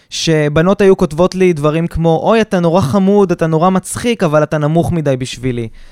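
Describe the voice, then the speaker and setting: A man's fairly high, animated voice at a moderate pace, with a dry, close sound and no echo. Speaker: podcast co-host, businessman. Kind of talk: casual chat. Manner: halting.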